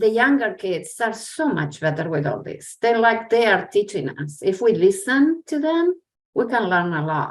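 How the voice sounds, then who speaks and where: The pitch rises and falls in very wide swings. The pace is moderate. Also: woman, fairly high pitch for a woman. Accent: Spanish. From Argentina. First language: Spanish. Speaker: educator. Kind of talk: casual chat.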